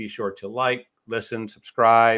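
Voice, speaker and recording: A man is speaking. The background is quiet. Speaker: podcast host. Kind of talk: podcast intro and announcements. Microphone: studio mic.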